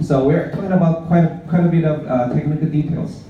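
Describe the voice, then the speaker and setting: There is audible room echo and noticeable background noise. Over it, a man speaks with ordinary pitch variation. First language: Mandarin. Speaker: blockchain project presenter. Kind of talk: conference presentation. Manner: halting, with frequent fillers.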